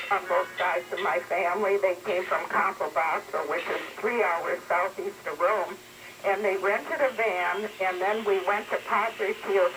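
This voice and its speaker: At a fairly slow pace, a woman with a medium pitch speaks with ordinary pitch variation amid noticeable background noise. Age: 70s. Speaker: caller. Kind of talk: call-in radio chat.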